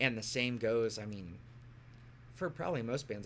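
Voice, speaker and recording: Using a normal speaking voice, a man talks with an American accent. His pitch is medium and his pace fairly quick. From US Midwest, southern Illinois. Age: 30s. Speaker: musician. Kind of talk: casual chat.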